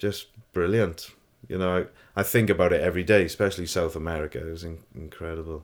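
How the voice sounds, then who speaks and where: In a South Welsh accent, a man with a very deep, low pitch talks very fast with fairly even intonation and big swings in loudness, on a very clean recording with a silent background. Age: 40s. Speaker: photographer. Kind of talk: casual interview.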